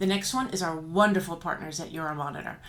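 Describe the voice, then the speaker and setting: With an animated tone and ordinary pitch variation, a woman talks in a room with audible echo. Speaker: trade association leader. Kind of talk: promotional announcement. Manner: fast.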